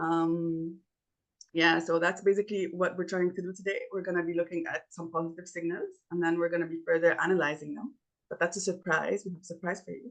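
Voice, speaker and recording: A woman with a fairly low voice talks fairly quickly in a monotone, flat delivery, her loudness swinging widely. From Egypt. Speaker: workshop facilitator. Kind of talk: online workshop presentation.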